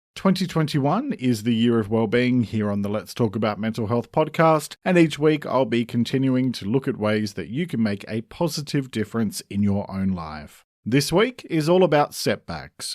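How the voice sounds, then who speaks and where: A man in an Australian accent, very wide pitch swings, moderate pace, hardly any pauses, on a very clean recording with a silent background. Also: medium pitch for a man. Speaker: mental health podcast host. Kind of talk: podcast monologue. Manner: scripted, steady delivery.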